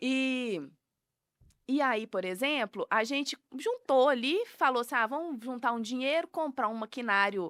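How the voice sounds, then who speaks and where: A woman with a strong Minas Gerais accent speaks at a fairly slow pace in a high voice, with ordinary pitch variation. The sound is dry and close with no echo, on a very clean recording with a silent background. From Minas Gerais, Brazil (Piuí). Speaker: food business owner. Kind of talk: podcast interview.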